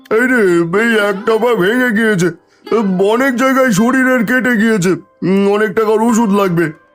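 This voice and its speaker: Faint music plays behind a man doing a cartoonish character voice. His pitch is high and his pace moderate. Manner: curt, grudging.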